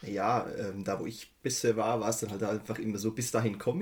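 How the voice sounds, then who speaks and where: A man speaks at a very fast pace in a medium pitch. His voice is somewhat breathy. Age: 30s. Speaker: IT systems engineer. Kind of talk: casual chat.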